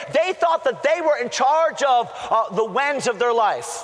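A man speaks at an extremely high pitch with ordinary pitch variation. Noticeable background noise can be heard. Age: 50s. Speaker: pastor. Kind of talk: sermon. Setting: college chapel service.

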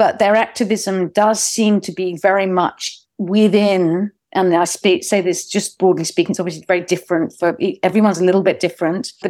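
In a very clean recording with a silent background, a woman speaks in a London accent. Her dark, mellow voice sits at medium pitch, with fairly even intonation and a moderate pace. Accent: British English (London). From England. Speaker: documentary filmmaker. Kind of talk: interview.

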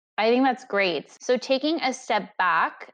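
Using a normal speaking voice, this woman keeps a moderate pace and ordinary pitch variation. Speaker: podcast interviewer. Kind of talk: interview questions.

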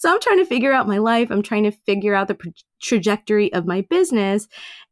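A woman with a New York accent talks very fast at a fairly high pitch. The recording is very clean with a silent background and a dry, close sound with no echo. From Queens, New York. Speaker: life coach and author. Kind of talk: interview.

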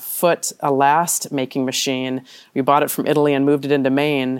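A woman with an American accent speaks at a moderate pace in a very deep, low pitch. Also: very clean recording, silent background. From US Midwest, southern Wisconsin (Janesville). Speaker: retail company executive. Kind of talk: interview.

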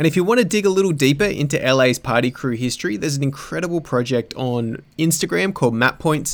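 A man with an Australian accent, lively intonation and a fairly quick pace. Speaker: podcast host. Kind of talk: interview.

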